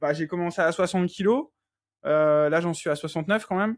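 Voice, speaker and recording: At a moderate pace, a man speaks in a high pitch on a very clean recording with a silent background. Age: 30s. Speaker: coaching client, nursing assistant. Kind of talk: interview testimony. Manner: hesitant, many fillers.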